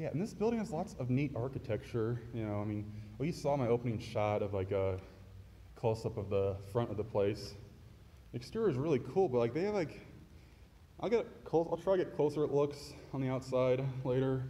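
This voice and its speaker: A man talks at a fairly quick pace, his intonation lively. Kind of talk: casual vlog chat. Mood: impressed, enthusiastic. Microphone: phone near.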